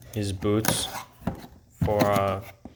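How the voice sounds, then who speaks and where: A very slow pace with a non-native accent, against noticeable background noise. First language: not English. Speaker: car hobbyist vlogger. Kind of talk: casual parts haul vlog. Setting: home garage. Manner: hesitant, many fillers.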